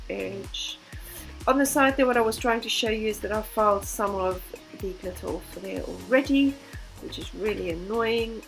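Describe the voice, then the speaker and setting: A woman keeps a moderate pace while music plays behind her. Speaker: beginner nail technician. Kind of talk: tutorial voice-over.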